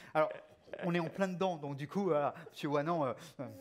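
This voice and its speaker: Fairly high-pitched for a man, this male speaker goes at a very fast pace with ordinary pitch variation. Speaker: debate moderator. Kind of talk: panel discussion.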